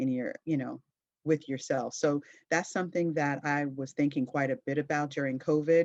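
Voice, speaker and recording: A woman speaks in a very deep, low voice over a quiet background. Her intonation stays monotone and flat. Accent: American. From New Jersey, US. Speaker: pastor and caregiver. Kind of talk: video diary testimony.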